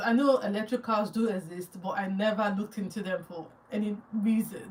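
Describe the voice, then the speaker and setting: A woman with a strong Nigerian accent, a fairly high pitch and a moderate pace, over noticeable background noise. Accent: Nigerian accent, still strong. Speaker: YouTuber. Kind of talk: live Q&A with viewers. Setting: livestream. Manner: halting.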